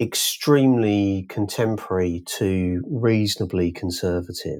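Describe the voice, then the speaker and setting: A man speaks in a plain, everyday voice at a fairly slow pace and fairly low pitch. The recording is very clean with a silent background. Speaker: book cover art director.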